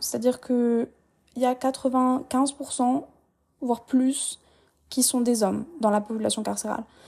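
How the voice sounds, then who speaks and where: The voice has a dark, mellow tone and fairly even intonation at a fairly slow pace. It is recorded very cleanly against a silent background. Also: woman. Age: 20s. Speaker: podcast host. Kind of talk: casual monologue.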